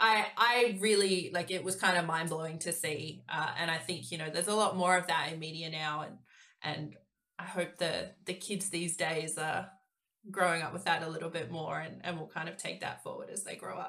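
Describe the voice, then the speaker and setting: This woman has an Australian accent, a fairly low pitch, and fairly even intonation. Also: moderate pace. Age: 30s. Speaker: cyber security professional. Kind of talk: casual chat.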